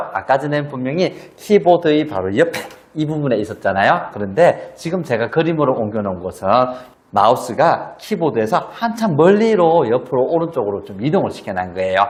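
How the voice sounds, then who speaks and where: Against noticeable background noise, a man talks at a fairly quick pace and a fairly high pitch, his pitch swinging very widely. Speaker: spine health educator. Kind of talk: tutorial.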